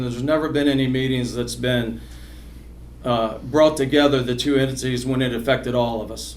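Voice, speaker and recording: Fairly quick delivery with fairly even intonation, audible room echo, and noticeable background noise. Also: man. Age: 60s. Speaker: political candidate. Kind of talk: candidate forum speech. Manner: halting, many repetitions.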